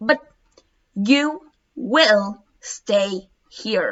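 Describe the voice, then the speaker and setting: The intonation is lively. It is a put-on character voice. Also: woman, fairly high pitch for a woman. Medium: read story. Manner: curt, barking commands.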